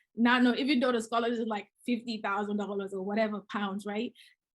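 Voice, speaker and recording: With a Gambian accent, a woman talks at a fairly quick pace in a fairly high pitch, keeping her intonation fairly even. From The Gambia, West Africa. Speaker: real estate investor. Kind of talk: interview. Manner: halting.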